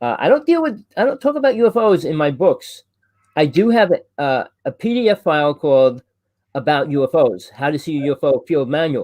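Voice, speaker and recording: With a New Jersey accent, a man with a fairly high voice talks at a fairly quick pace in very wide pitch swings, the sound dry and close with no echo. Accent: New Jersey accent, noticeable. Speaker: UFO talk show host. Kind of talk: casual chat. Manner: fast; loud.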